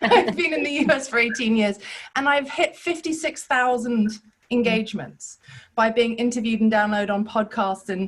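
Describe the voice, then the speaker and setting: Speaking in a transatlantic accent, a woman with a fairly high, somewhat breathy voice uses lively intonation. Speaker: business coach, former academic. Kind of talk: testimony. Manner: animated.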